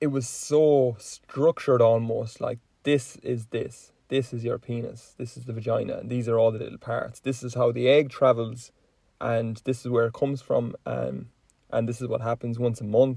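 A man's somewhat breathy, dark, mellow voice with an Irish accent and monotone, flat intonation. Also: medium pitch for a man, moderate pace. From Ireland. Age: 20s. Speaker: podcast host. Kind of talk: casual chat.

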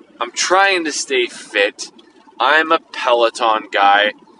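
A man speaks over noticeable background noise. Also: dry, close sound with no echo. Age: 40s. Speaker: podcast host. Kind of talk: casual monologue. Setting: in a car.

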